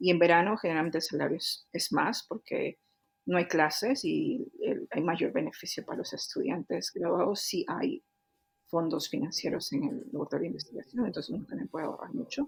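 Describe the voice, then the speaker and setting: This woman's voice is fairly high and somewhat breathy, with very wide pitch swings. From Peru, Cusco. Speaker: engineering director and researcher. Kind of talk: interview. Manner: hesitant fillers.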